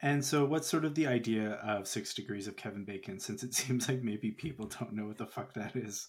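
A man at medium pitch speaks in a normal speaking voice with ordinary pitch variation at a fairly quick pace. The recording is very clean with a silent background. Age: 30s. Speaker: podcast host. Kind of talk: casual chat.

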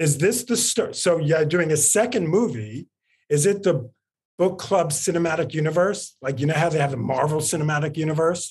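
This man has a plain, everyday voice with an American accent and a fairly high pitch. He talks at a moderate pace, with ordinary pitch variation and very even loudness. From New York. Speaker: entertainment podcast host. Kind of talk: casual interview chat. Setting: video call from office.

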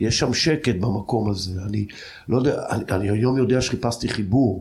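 His voice comes out somewhat breathy. The man keeps to a fairly slow pace. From Israel, Jordan Valley kibbutz. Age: 50s. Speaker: cultural researcher and lecturer. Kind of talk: personal life story interview.

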